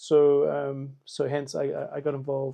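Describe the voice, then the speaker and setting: A man is speaking. He has a South African accent. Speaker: political candidate. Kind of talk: campaign video answering questions. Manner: halting, many fillers.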